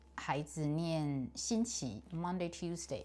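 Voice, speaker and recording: A woman speaks with a very deep, low pitch. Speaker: English pronunciation learner. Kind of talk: casual talk to camera.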